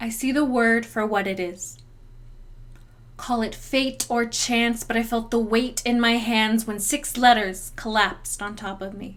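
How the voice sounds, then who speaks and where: A woman with a normal speaking voice talks at a fairly slow pace and fairly high pitch, her intonation fairly even. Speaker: poet. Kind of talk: spoken word poetry performance.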